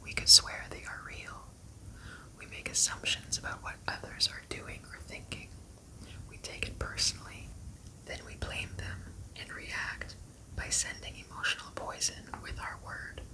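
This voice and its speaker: A woman whispering in a soothing tone at a fairly slow pace, with long, frequent pauses, big swings in loudness and noticeable background noise. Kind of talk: ASMR book reading. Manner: whispered; soft-spoken, soothing.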